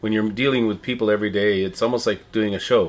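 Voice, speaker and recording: Talking very fast, a man uses a fairly low pitch and fairly even intonation. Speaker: town crier and manager of visitor services. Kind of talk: interview answer. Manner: conversational, friendly, fluent.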